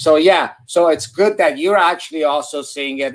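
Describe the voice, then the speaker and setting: A man with an American accent, an ordinary speaking voice, ordinary pitch variation, and a moderate pace. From US West Coast, San Francisco Bay Area. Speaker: addiction medicine doctor. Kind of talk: live-stream Q&A. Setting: live video stream.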